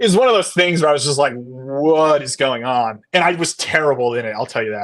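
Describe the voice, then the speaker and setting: A man's medium-pitched voice at a very fast pace, with ordinary pitch variation. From Connecticut, US Northeast. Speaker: baseball analyst. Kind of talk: casual chat. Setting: podcast live stream.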